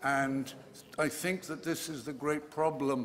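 A man's speech comes through with light background noise behind it. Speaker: conference lecturer. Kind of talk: lecture. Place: hall. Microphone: studio mic.

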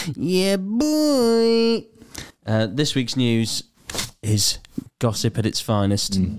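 Very wide pitch swings run through a man's speech. Nothing else is heard but a quiet background. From England. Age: 20s. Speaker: comedy podcast host. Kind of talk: casual chat. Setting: makeshift room recording. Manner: animated. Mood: jokey, amused. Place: studio. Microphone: studio mic.

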